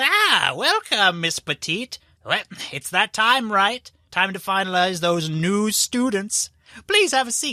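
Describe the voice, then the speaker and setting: At a fairly slow pace, the speaker uses a put-on character voice with a fairly high pitch. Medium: actual play. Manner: courteous, formal.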